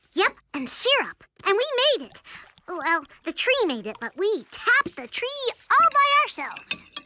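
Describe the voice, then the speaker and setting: This is a cartoonish character voice at an extremely high pitch. It moves at a moderate pace with very wide pitch swings. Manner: bright, excitable.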